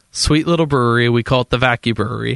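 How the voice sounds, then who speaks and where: Recorded dry and close with no echo, a man with an ordinary speaking voice talks at a moderate pace in a medium pitch with fairly even intonation. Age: 30s. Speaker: homebrew supply company staff. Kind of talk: casual chat. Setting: studio.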